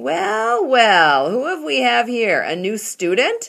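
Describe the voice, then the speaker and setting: A female-sounding put-on character voice, booming, raised and projected, at a fairly high pitch. The pace is fairly slow. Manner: hearty, jovial.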